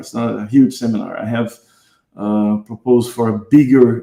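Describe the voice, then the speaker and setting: With a Brazilian accent, a man talks at a moderate pace in a medium pitch, his tone dark and mellow and his intonation fairly even. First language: Portuguese. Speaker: guitarist and music teacher. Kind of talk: online seminar. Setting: online live stream. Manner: halting, many fillers.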